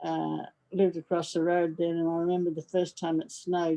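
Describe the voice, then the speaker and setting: A woman talks at a moderate pace with an Australian accent. Her tone is dark and mellow, her pitch fairly low. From Brisbane, Queensland, Australia. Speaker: war bride. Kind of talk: casual interview answer over video call.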